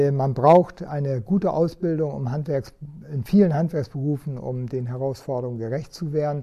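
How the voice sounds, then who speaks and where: A man speaks at a moderate pace with a fairly high pitch. His tone is dark and mellow and somewhat breathy. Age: 60s. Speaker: head of a chamber of crafts. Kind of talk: interview. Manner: hesitant with frequent fillers.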